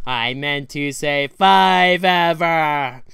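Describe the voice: A man puts on a character voice, pitched fairly high, with lively intonation.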